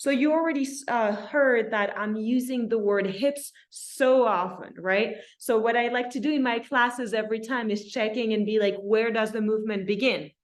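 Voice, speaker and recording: Speaking at a moderate pace with a slight French accent, a woman with a fairly high pitch and ordinary pitch variation is heard with audible room echo. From France. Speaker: dance instructor. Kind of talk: dance class instruction. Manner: warm, encouraging.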